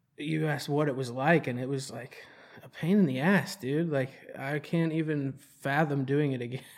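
The speaker has a plain, everyday voice with an American accent. The intonation stays fairly even. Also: man. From North Carolina (Charlotte). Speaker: recovery home founder. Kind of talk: casual interview. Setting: studio (hotel room).

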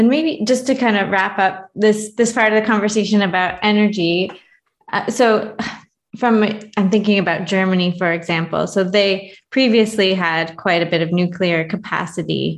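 A woman speaks in an ordinary speaking voice of medium pitch, with ordinary pitch variation at a moderate pace. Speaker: podcast host. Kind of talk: podcast interview. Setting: remote call.

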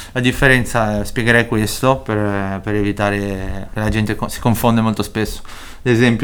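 With a Spanish accent, a man with a fairly low pitch speaks at a moderate pace in a monotone, flat intonation. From Chile, moved to Italy as a teen. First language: Spanish (speaking Italian). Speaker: rapper. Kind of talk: interview.

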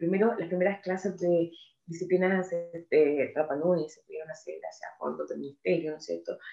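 Speaking at a moderate pace, a woman shows big swings in loudness. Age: 50s. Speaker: NGO executive director. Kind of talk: interview.

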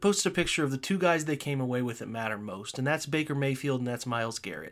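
A man with an American accent talks at a very fast pace and fairly high pitch with lively intonation, on a very clean recording with a silent background. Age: 30s. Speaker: sports podcast host. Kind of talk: solo podcast monologue. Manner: halting, many fillers and repeated words; emotional, animated.

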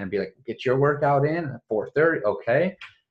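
A man with an ordinary speaking voice at a fairly quick pace. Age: 30s. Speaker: podcast host. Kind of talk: podcast interview.

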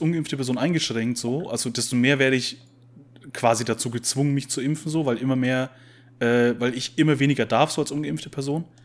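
Ordinary pitch variation and a moderate pace in a man's voice of medium pitch. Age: 20s. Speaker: podcast co-host. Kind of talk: casual chat. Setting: video call.

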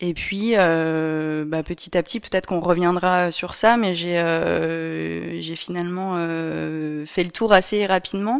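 On a very clean recording with a silent background, a woman with a fairly low pitch speaks at a very slow pace with hardly any pauses and fairly even intonation. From Paris region, France. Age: 20s. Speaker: event venue owner. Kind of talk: interview. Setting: at her home venue.

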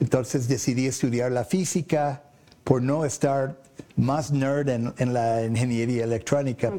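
Speaking at a fairly slow pace, a man has a medium pitch and a dark, mellow tone. His pitch varies in an ordinary way. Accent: English. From US, Boston and Oklahoma. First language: English (speaking Spanish). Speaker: electronics sales representative. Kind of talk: interview. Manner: halting, many fillers and repeats.

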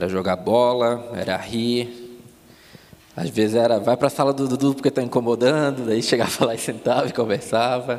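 Over noticeable background noise, a man with a Florianópolis accent talks at a moderate pace and medium pitch with fairly even intonation. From Palhoça, Santa Catarina, Brazil. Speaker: former missionary. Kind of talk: testimony. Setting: church service with congregation.

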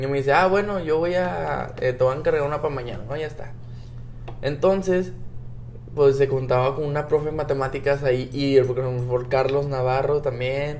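There is audible room echo and noticeable background noise. A man with a fairly high pitch talks at a fairly quick pace, with ordinary pitch variation. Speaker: friend of the host. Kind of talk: casual chat. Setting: hotel in Cancún, improvised recording.

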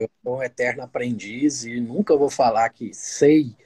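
Against a quiet background, the voice has a dark, mellow tone, somewhat breathy, moving at a fairly slow pace. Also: man, dry, close sound with no echo. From Minas Gerais, Brazil. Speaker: proctologist and podcast host. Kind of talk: live stream interview. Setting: online live stream.

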